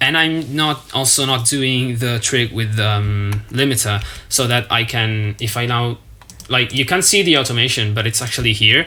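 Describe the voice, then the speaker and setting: The speaker has a non-native accent and keeps a moderate pace. Background noise is noticeable. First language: not English. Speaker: music producer. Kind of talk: tutorial walkthrough.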